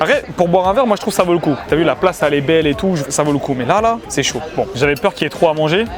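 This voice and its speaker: Over music in the background, a high-pitched man talks at a very fast pace with lively intonation. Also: hardly any pauses. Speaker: food reviewer youtuber. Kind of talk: casual food tasting vlog. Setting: cafe terrace in Paris, outdoors. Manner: soft-spoken, talking quietly near the waiter.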